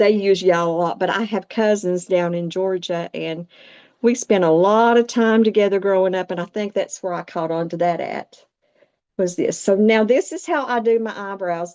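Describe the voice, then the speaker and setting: A woman speaks at a moderate pace with a Southern US accent. The background is quiet. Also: medium pitch for a woman, ordinary pitch variation. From US South, Appalachia. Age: 60s. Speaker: makeup demonstrator. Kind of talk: tutorial. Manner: hesitant, filler words.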